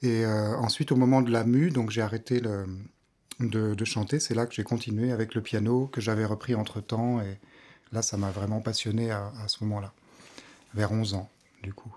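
A man's dark, mellow, medium-pitched voice at a moderate pace, fairly even intonation and long, frequent pauses. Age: 30s. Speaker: pianist and vocal coach. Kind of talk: casual interview chat. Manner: halting, many hesitations.

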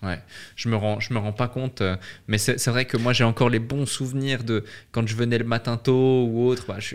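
With a medium pitch and monotone, flat intonation, a man speaks at a moderate pace on a very clean recording with a silent background. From French-speaking Switzerland. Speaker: podcast host. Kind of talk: interview.

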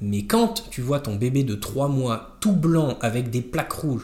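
With lively intonation, a man talks in a somewhat breathy voice at a fairly high pitch. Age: 30s. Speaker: stay-at-home father. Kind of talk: casual chat.

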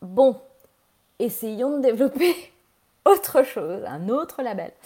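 A woman with a dark, mellow tone and vocal fry speaks with very wide pitch swings. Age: 40s. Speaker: fashion entrepreneur. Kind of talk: interview.

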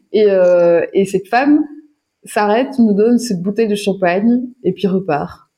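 This woman's tone is dark and mellow, and somewhat breathy. Her pitch varies in an ordinary way. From Wallonia, southern Belgium. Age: 30s. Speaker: filmmaker and cyclist. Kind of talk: interview. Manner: halting.

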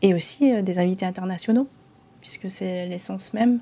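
Moderate pace and ordinary pitch variation from a woman, her tone dark and mellow, her pitch medium. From Monaco. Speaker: business association president. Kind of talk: interview. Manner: hesitant.

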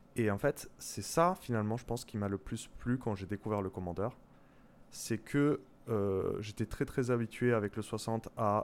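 Here a man talks at a fairly low pitch with ordinary pitch variation. The recording is very clean and the background silent. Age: 30s. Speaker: software developer. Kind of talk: casual chat. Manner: hesitant.

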